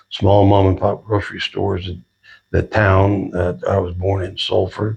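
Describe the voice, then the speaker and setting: At a moderate pace, a man with an American accent speaks in a fairly low, somewhat breathy voice with a dark, mellow tone and monotone, flat intonation. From Southern California. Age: 80s+. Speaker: retired sheriff's deputy. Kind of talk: interview. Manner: halting, with many fillers.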